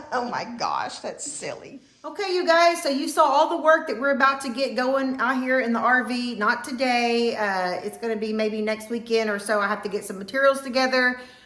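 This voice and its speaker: A woman speaks at a moderate pace with hardly any pauses, her high voice showing ordinary pitch variation, amid audible room echo and noticeable background noise. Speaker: vlogger. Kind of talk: casual vlog chat.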